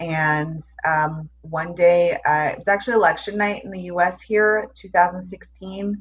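Somewhat breathy and fairly low in pitch, a woman speaks with an American accent and fairly even intonation. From New York. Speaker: transformation coach. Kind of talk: casual chat.

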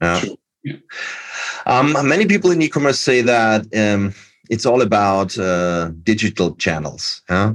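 A man with a German accent, fairly low in pitch, at a fairly slow pace. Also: lively intonation. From Austria. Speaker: podcast host. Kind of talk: interview.

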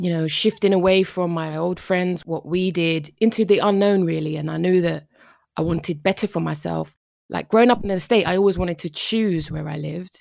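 The background is silent in this very clean recording. Delivery is fairly quick, and the intonation stays fairly even. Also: woman, fairly low pitch for a woman. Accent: London. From Northwest London. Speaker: psychotherapist. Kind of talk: interview.

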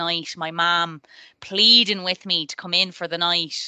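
In a Dublin accent, a woman speaks at a moderate pace with a medium pitch and a bright, sharp tone, in a dry, close sound with no echo. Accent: Irish (Dublin area). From Ireland, near Dublin. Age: 30s. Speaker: tech project manager. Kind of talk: interview.

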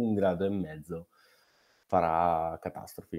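A man talks at a moderate pace with a very deep, low pitch. His pitch variation is ordinary, and the sound is dry and close with no echo. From northern Italy, Brescia. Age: 20s. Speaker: snowboarder and climate activist. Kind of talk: casual interview. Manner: halting.

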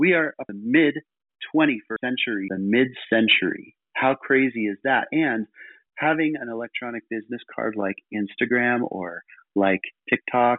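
A man's lively intonation at a medium pitch, with a dry, close sound and no echo. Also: moderate pace.

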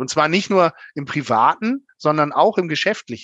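In a dry, close recording with no echo and a quiet background, a man uses an unremarkable speaking voice, fairly high in pitch, with lively intonation. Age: 40s. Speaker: bank manager. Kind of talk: interview.

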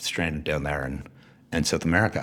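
Talking at a fairly quick pace, a man delivers the clip. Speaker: venture capitalist. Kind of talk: interview.

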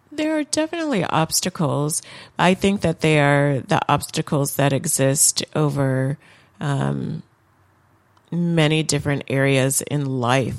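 Speaking fairly slowly with an American accent, a woman has a very deep, low pitch, fairly even intonation and very even loudness. The sound is dry and close, with no echo. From Michigan, Lansing. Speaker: judge. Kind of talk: interview. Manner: hesitant, many fillers.

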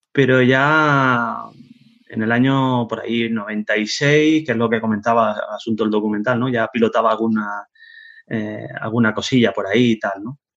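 In a plain, everyday voice, a man speaks fairly slowly at a medium pitch with fairly even intonation. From Spain, Canary Islands (Tenerife). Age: 40s. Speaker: web developer. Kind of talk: casual interview.

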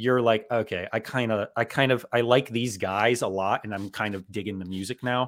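With an ordinary speaking voice, a man of medium pitch talks at a moderate pace with fairly even intonation and hardly any pauses. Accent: American. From South Florida. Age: 30s. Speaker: podcast host and author. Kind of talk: casual interview chat. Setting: video call.

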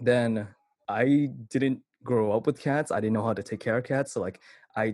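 A man with a Californian accent speaks at a fairly quick pace in a medium pitch, his intonation fairly even, on a very clean recording with a silent background. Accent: Californian American. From Vallejo, California. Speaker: commercial videographer and cat influencer. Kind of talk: interview answers. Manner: casual, many fillers like 'like'.

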